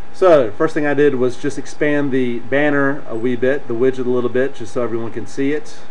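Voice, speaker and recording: A man's medium-pitched voice with an American accent at a fairly quick pace, hardly any pauses, and noticeable background noise. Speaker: software tutorial presenter. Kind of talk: screen-recorded tutorial. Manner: casual, with many fillers.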